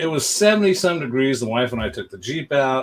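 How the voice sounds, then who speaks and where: Speaking at a moderate pace with ordinary pitch variation, a man has a fairly high pitch and an ordinary speaking voice. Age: 60s. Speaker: pinball tournament streamer. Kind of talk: casual live stream chat. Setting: live stream.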